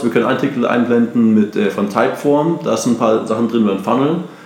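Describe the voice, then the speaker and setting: Amid noticeable background noise and audible room echo, a man of medium pitch speaks at a fairly quick pace. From Germany, Munich. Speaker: entrepreneur. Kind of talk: casual interview. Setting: at host's house in Bali. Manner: energetic.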